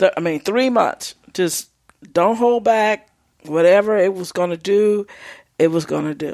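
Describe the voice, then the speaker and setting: Using an ordinary speaking voice, a woman of medium pitch talks at a fairly slow pace with ordinary pitch variation. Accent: American. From Texas. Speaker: visual artist. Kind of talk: interview.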